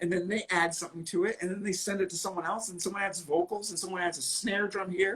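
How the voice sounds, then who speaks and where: Over noticeable background noise, the speaker goes at a very fast pace with hardly any pauses. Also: man, high pitch for a man. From New England, rural area outside Boston. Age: 50s. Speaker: rock musician. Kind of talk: casual interview chat. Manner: animated, self-interrupting.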